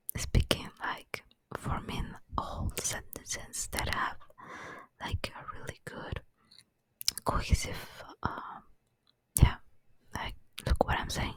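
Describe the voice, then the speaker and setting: A speaker with a non-native accent whispers at a very slow pace. Long, frequent pauses break up the speech. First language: not English. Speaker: ASMR rambling vlogger. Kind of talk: casual monologue. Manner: halting, many fillers; soft-spoken.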